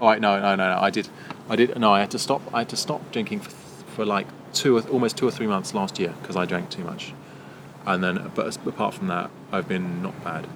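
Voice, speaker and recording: A man with a British accent and a fairly low pitch talks at a very fast pace with ordinary pitch variation. His loudness swings widely over noticeable background noise. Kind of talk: casual banter. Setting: pub garden.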